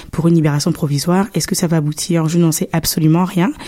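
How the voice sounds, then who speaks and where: A woman with a fairly low pitch and fairly even intonation has a normal speaking voice. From Gabon. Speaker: university student. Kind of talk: radio interview. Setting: radio studio.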